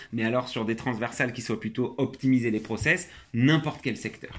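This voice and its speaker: A man at medium pitch and a fairly quick pace, a plain, everyday voice, in a very clean recording with a silent background. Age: 30s. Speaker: tech company CEO. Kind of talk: interview.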